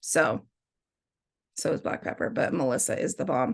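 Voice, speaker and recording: The background stays quiet. A woman talks fairly quickly. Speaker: essential oil sales presenter. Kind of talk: product tutorial. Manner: fast; casual, chatty.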